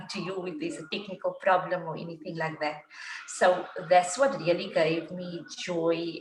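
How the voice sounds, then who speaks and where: A woman with a plain, everyday voice talks at medium pitch and a moderate pace. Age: 40s. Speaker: IT worker turning life coach. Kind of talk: casual chat.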